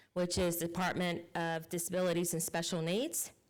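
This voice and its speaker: A woman with a Southern US accent and fairly low pitch, at a moderate pace, amid audible room echo. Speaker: state legislator. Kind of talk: public meeting report. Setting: county council meeting.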